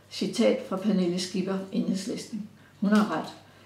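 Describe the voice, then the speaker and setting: Echo from the room can be clearly heard. The voice is a woman's. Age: 70s. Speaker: pensioner. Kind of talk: prepared statement read aloud. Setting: recorded interview.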